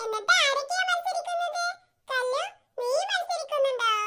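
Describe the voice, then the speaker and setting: A female-sounding cartoonish character voice is pitched extremely high. The pace is moderate. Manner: brisk, commanding.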